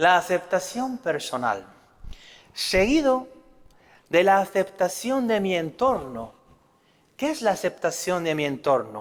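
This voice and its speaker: Very slowly, a man speaks at a high pitch with very wide pitch swings. He takes long, frequent pauses. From Spain. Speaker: priest. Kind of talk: religious talk.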